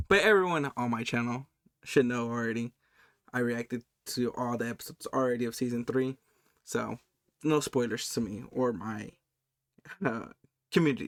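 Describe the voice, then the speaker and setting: The pace is moderate, with long, frequent pauses and ordinary pitch variation. The sound is dry and close, with no echo. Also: man, medium pitch for a man. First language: Spanish. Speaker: reaction youtuber. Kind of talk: casual reaction commentary. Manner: halting, stumbles over words.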